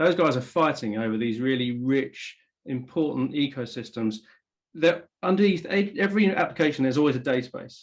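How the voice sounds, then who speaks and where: A fairly high-pitched man with an English accent and lively intonation. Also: fairly quick pace. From England. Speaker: tech company executive. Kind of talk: interview.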